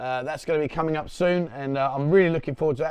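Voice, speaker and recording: This man has a London accent and a fairly high pitch. He talks at a very fast pace with ordinary pitch variation. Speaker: news commentator, vlogger. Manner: fast talker.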